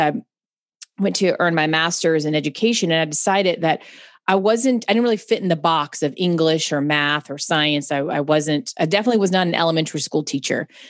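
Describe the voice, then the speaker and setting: With an American accent, a woman speaks in an ordinary speaking voice at a fairly quick pace, her fairly low pitch carrying lively intonation over a quiet background. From US South, Charlotte, North Carolina. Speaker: computer science educator. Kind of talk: casual interview chat.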